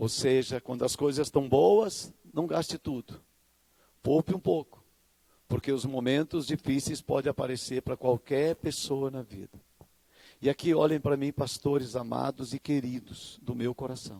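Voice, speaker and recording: A man's dark, mellow, medium-pitched voice at a moderate pace, dry and close with no echo, on a very clean recording with a silent background. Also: ordinary pitch variation. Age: 60s. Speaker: pastor. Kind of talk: sermon.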